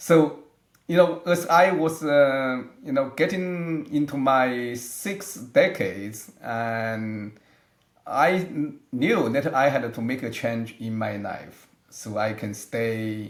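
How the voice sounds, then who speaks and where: Amid audible room echo, a man speaks very slowly at a medium pitch, with lively intonation and big swings in loudness. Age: 60s. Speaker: aging researcher, scientist. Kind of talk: interview. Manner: halting, with many fillers and restarts.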